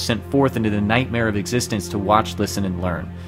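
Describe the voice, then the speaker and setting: A man's fairly low voice over music in the background. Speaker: gaming streamer. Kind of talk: dramatic lore narration. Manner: dramatic.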